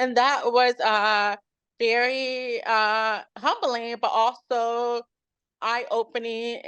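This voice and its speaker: A high-pitched woman with an American accent, dry and close with no echo, over a quiet background. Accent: slight hard-of-hearing trace in speech. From Chicago South Side. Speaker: chef and bakery owner. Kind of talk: interview. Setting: video call. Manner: volume poorly regulated, sometimes too loud or soft.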